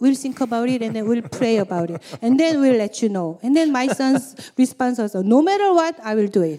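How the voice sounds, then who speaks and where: A woman with a Korean accent speaks in a high pitch and a dark, mellow tone, her intonation lively at a moderate pace. The recording is very clean, with a silent background. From South Korea. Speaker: church member. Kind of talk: testimony. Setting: stage with audience. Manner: halting.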